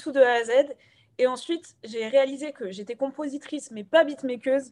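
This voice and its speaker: The woman's voice is high in pitch, with ordinary pitch variation. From Gabon. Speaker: rapper and singer-songwriter. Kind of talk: radio interview. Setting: remote interview.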